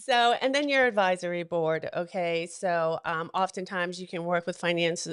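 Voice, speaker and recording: A woman with an American accent, fairly low in pitch, at a moderate pace with hardly any pauses, ordinary pitch variation and a quiet background. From New England. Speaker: wealth advisor. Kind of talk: talk show guest presentation. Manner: frequent fillers.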